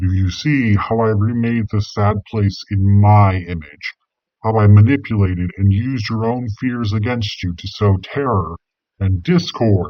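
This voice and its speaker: A man puts on a gravelly character voice at a fairly low pitch, speaking at a moderate pace. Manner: menacing, gloating.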